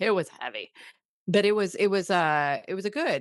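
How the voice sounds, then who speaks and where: In a Midwestern accent, a woman talks with ordinary pitch variation. The sound is dry and close with no echo, over a quiet background. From US Midwest. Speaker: podcast co-host. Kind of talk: casual chat. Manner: halting, many fillers.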